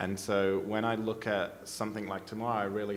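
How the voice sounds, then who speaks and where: A man with an Australian accent and a fairly low pitch, fairly quick, in a flat monotone, with audible room echo. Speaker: policy advocate, panelist. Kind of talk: panel discussion. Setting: conference stage with audience.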